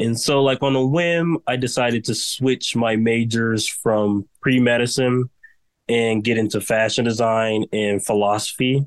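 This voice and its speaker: An ordinary speaking voice from a man, medium in pitch and fairly slow, with very even loudness, fairly even intonation and a dry, close sound with no echo. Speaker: fashion design student and brand founder. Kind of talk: interview.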